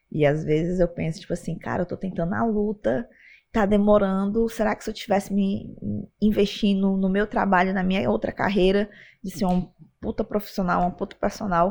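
In a plain, everyday voice, a woman of medium pitch speaks at a moderate pace with ordinary pitch variation. The background is quiet. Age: 20s. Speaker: MMA and Chinese boxing fighter. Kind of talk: casual interview chat.

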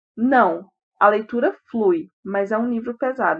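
Her pitch fairly high with ordinary variation, a woman with an unremarkable speaking voice talks at a fairly slow pace. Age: 20s. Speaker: book podcast co-host. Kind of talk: casual book discussion.

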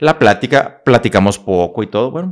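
Fairly quick pace with very wide pitch swings. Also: man. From northern Mexico, Coahuila. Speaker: motivational speaker and psychologist. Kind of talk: casual interview storytelling.

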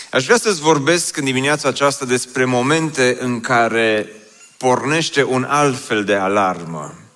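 Over noticeable background noise, a man with a medium pitch speaks at a fairly slow pace with lively intonation. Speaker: pastor. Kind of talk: sermon.

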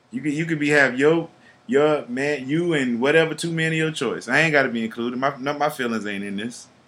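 A man with an American accent and a plain, everyday voice, with fairly high pitch, ordinary pitch variation and a fairly quick pace. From US South. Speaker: podcast host. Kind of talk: casual chat.

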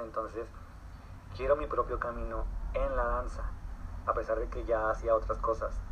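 Noticeable background noise runs through the clip. A man talks at a moderate speed. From Mexico, Torreón, Coahuila. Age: 20s. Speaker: dancer and actor. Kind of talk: interview. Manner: halting, many repetitions and fillers.

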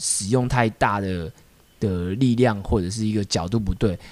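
A plain, everyday voice from a man, fairly low in pitch, with ordinary pitch variation and a fairly slow pace. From Taiwan (Taipei). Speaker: street dance crew founder. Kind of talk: casual chat.

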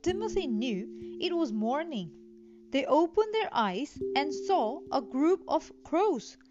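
An unforced reading voice is what this recording holds.

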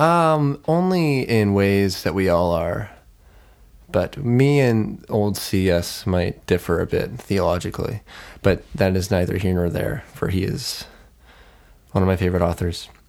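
With lively intonation, a man talks fairly slowly in an unremarkable speaking voice at a fairly low pitch, on a very clean recording with a silent background. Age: young. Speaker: podcast co-host. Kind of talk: casual chat.

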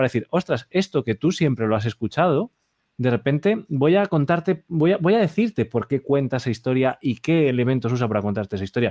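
Dry and close with no echo, a man's fairly high, dark, mellow voice moves at a fairly quick pace with very wide pitch swings. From Spain. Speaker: interviewer, music teacher. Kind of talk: interview.

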